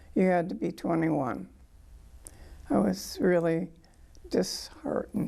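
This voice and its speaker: A fairly slow pace with long, frequent pauses, in a Midwestern American accent. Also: woman. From US Midwest, Michigan. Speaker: war veteran. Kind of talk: oral history interview. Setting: museum.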